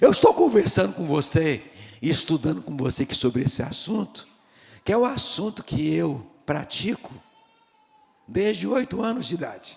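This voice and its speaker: Over noticeable background noise, a man with a fairly high pitch for a man speaks at a moderate pace, taking long, frequent pauses and making very wide pitch swings. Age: 60s. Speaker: pastor. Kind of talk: sermon. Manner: animated.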